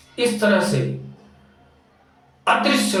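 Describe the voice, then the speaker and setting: Audible room echo surrounds a man's voice. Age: 60s. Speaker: religious-political commentator. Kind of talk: monologue. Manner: impassioned.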